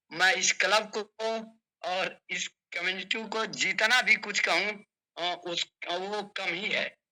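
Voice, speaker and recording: A man with a high pitch and a bright, sharp tone projects a raised voice in a monotone, flat delivery. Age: 60s. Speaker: doctor giving a health testimonial. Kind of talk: testimony. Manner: halting.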